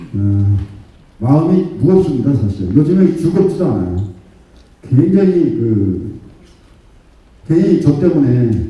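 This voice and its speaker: A somewhat breathy voice with a dark, mellow tone and lively intonation moves at a moderate pace amid audible room echo. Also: man. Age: 60s. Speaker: district head. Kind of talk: public speech. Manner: impassioned.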